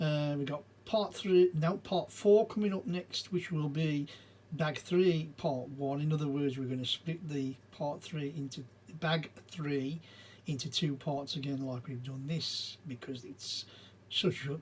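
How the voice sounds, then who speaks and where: A man with an English accent at a fairly slow pace, somewhat breathy, with ordinary pitch variation. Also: fairly high pitch for a man. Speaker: Lego building video creator. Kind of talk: casual build commentary. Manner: mumbling and stumbling.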